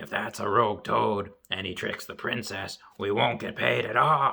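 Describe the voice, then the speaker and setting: This is a put-on character voice, raspy and at a moderate pace. Its pitch swings very widely. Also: man, fairly low pitch for a man. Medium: read story. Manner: whiny.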